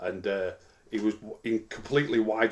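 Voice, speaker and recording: His pitch is medium. The man talks with an English accent. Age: 60s. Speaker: football pundit. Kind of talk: casual chat. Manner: halting.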